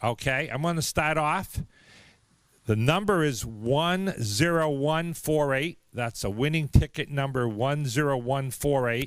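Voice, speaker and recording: A man with a Boston accent speaks at a fairly slow pace and fairly high pitch. His pitch varies in an ordinary way, and the recording is very clean with a silent background. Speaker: raffle announcer for a car museum. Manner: casual, conversational.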